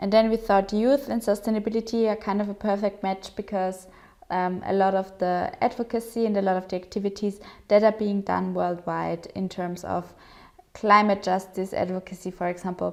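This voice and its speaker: With a German accent, a woman at medium pitch speaks at a moderate pace in monotone, flat intonation. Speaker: digital policy program organizer. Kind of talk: presentation. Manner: hesitant with fillers.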